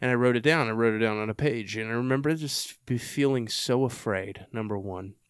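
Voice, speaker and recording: A man with a Texan accent talks at a fairly quick pace with hardly any pauses. His pitch is medium, with ordinary pitch variation. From Texas. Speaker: podcast host and army veteran. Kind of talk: casual interview conversation. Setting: in-person sit-down.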